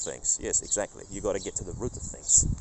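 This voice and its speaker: A man with a non-native accent speaks at a very fast pace. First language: not English. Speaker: faith vlogger. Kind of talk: casual vlog monologue. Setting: outdoors in a park. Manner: halting, with many restarts.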